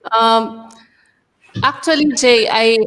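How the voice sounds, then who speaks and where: Using ordinary pitch variation, a woman with a Filipino accent speaks at a fairly high pitch. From Philippines. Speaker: teacher. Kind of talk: casual chat. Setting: video call. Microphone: video call.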